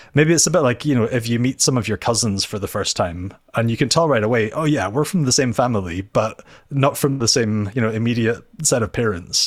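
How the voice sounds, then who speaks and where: Fairly quick speech from a man at medium pitch with ordinary pitch variation, in a very clean recording with a silent background. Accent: Scottish Highland. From Scotland, Inverness. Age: 40s. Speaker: theology lecturer. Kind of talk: interview. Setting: office.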